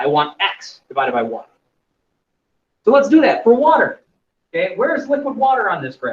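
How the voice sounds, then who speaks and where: A man at a fairly quick pace, broken by long, frequent pauses. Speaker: chemistry teacher. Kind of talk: lecture.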